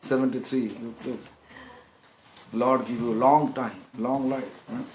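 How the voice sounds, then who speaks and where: A loud man at medium pitch talks at a fairly slow pace with fairly even intonation, over noticeable background noise and audible room echo. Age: 50s. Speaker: monk preacher. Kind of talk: sermon.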